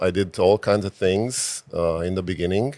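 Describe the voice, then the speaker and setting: This speaker uses ordinary pitch variation and talks with a Romanian accent. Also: man. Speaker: physician and real estate investor. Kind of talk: interview. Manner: hesitant, many fillers.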